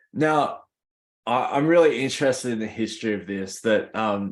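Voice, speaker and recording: A man with an Australian accent and ordinary pitch variation, on a very clean recording with a silent background. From Australia, Worimi country (NSW mid-north coast). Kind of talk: conference presentation. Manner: halting, frequent repetitions.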